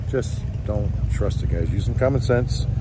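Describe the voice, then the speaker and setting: This man's voice sounds dry with no echo, though noticeable background noise runs beneath it. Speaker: vendor vlogger. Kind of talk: casual vlog chat. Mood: earnest, slightly annoyed. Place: street. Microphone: phone near.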